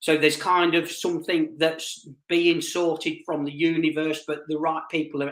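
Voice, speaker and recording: The speaker is a man whose voice sits at a fairly high pitch. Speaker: psychic medium. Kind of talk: live-stream psychic reading. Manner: fast.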